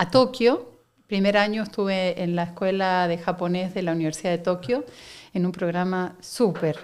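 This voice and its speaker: In an Argentine accent, the speaker keeps a moderate pace and ordinary pitch variation on a very clean recording with a silent background. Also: woman. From Argentina, Buenos Aires. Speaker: company director. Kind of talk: interview conversation.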